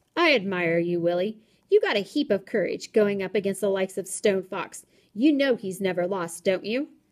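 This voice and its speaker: A woman's growling, put-on character voice at a medium pitch. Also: moderate pace, ordinary pitch variation. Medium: read story.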